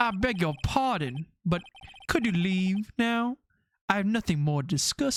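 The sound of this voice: An unforced reading voice moves with lively intonation. The background is quiet.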